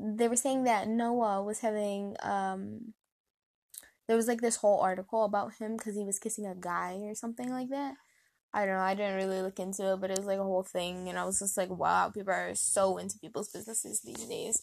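A woman's medium-pitched voice at a fairly quick pace, slightly mellow in tone, with vocal fry and fairly even intonation

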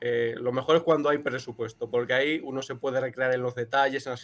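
A man speaks at a fairly quick pace, his medium-pitched voice held in a flat monotone. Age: 20s. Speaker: cartoonist and illustrator. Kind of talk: interview.

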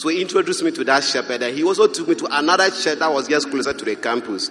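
With noticeable background noise behind him, a man speaks at a very fast pace in a Ghanaian accent. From Ghana, Upper East Region. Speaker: Bible school student. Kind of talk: testimony. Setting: stage with audience.

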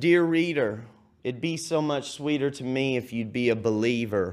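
With a Texan accent and a medium-pitched voice, a man speaks at a fairly slow pace with ordinary pitch variation, and audible room echo is present. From Texas (Cedar Creek Lake). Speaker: poet. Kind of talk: poetry performance. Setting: TV studio stage.

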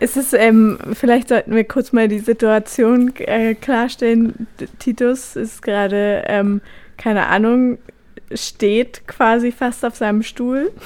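A woman speaks at a very slow pace. Her voice is fairly high. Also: fairly even intonation. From Brandenburg, Germany (Nauen). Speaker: radio host. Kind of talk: casual chat.

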